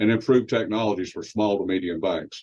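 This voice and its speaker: A man with a fairly low voice and a Texas accent. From West Texas. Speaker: promotional presenter. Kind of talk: sales pitch.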